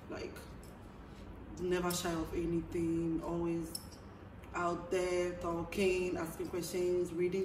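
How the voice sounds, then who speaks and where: This woman's voice sits fairly low, with audible echo from the room. She talks at a fairly slow pace. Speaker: vlogger. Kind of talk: casual monologue to camera.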